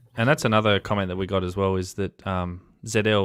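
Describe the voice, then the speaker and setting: A man with an Australian accent talks at a very fast pace and a fairly low pitch with ordinary pitch variation, in a dry, close sound with no echo on a very clean recording with a silent background. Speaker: amateur radio operator. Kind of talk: casual conversation.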